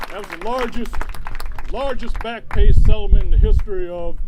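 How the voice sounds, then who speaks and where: Crowd noise sits in the background and the room echo is audible. A man speaks with a high pitch and lively intonation. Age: 60s. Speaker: union leader. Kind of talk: rally speech.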